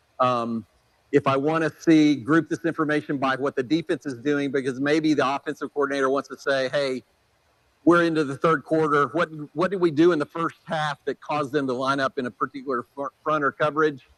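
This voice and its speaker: Heard dry and close with no echo, a man in an ordinary speaking voice speaks with fairly high pitch, fairly even intonation and a fairly quick pace. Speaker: software presenter. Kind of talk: product demo at a clinic. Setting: clinic presentation with audience.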